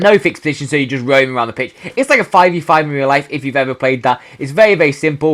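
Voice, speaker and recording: Talking at a very fast pace with hardly any pauses, a man with a British accent uses a fairly high pitch and ordinary pitch variation. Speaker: gaming youtuber. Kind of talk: casual video commentary.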